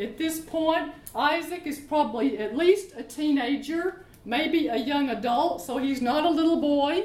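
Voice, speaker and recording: Fairly slow speech with lively intonation in an American accent, over noticeable background noise. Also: woman, high pitch for a woman. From US South, Arkansas. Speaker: pastor. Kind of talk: sermon. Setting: church. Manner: animated.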